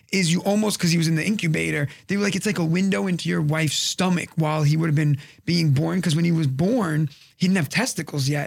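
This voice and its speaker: A man talks in a New York accent at a fairly quick pace. His pitch is high. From Brooklyn, New York. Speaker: comedian. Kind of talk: casual chat.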